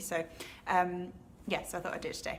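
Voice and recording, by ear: A woman talks at a fairly quick pace, her pitch fairly low and her tone fairly bright.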